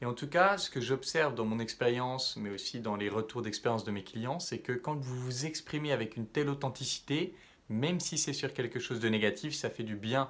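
Ordinary pitch variation from a man talking at a moderate pace. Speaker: self-development coach. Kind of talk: vlog monologue to camera. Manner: casual, hesitant with fillers. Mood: calm, reflective.

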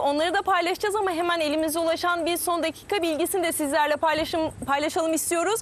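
A woman with an extremely high pitch speaks at a fairly quick pace with fairly even intonation, the sound dry with no echo. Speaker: TV sports show host. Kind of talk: TV interview show. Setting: outdoors by the sea. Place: waterside.

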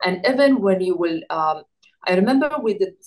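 In a quiet background, a woman's voice holds a moderate pace and ordinary pitch variation. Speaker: interviewee. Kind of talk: interview answer. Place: home room. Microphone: video call.

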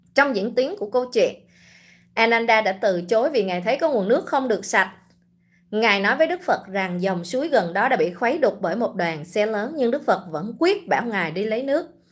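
Her pitch swinging very widely, a woman speaks at a fairly quick pace. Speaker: online commentator, livestream host. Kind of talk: livestream commentary. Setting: online livestream. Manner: casual, conversational. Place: home room. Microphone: phone near.

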